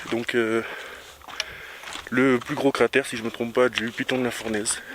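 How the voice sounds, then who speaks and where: Over noticeable background noise, a man speaks at a moderate pace in a medium pitch with monotone, flat intonation. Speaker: travel vlogger. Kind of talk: vlog narration while hiking. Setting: outdoors hiking. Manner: casual, filler-heavy.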